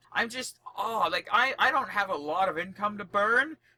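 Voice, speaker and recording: With a Canadian accent, the speaker uses a raised, projected voice, fairly quick and animated, with lively intonation. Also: man. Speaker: podcast co-host. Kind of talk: casual chat. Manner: loud.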